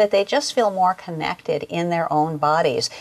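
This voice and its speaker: A woman with a fairly low pitch at a moderate pace over noticeable background noise. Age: 60s. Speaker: raw food school founder and director. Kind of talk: interview.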